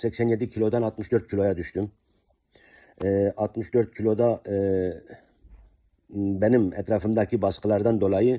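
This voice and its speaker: Against a quiet background, a man with a dark, mellow tone talks at a moderate pace. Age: 60s. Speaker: diet program client. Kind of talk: testimony. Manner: halting, many fillers.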